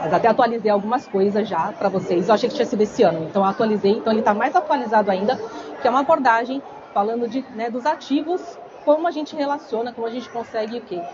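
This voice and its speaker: Crowd noise fills the background as a woman talks very fast at a fairly high pitch with lively intonation and audible room echo. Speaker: biomedical aesthetics instructor. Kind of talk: lecture. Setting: stage with audience, microphone. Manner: soft-spoken; casual, chatty.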